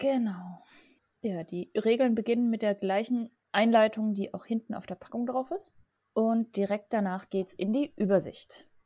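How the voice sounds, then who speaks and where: A woman with a fairly high pitch, an ordinary speaking voice and ordinary pitch variation, in a very clean recording with a silent background and a dry, close sound with no echo. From southern Germany (Lech area). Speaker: board game podcast host. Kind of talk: casual chat.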